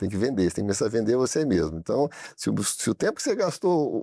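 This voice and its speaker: A man's dark, mellow voice with very wide pitch swings, dry and close with no echo, on a very clean recording with a silent background. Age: 60s. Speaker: business owner. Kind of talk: studio interview. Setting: studio. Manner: halting, many repetitions.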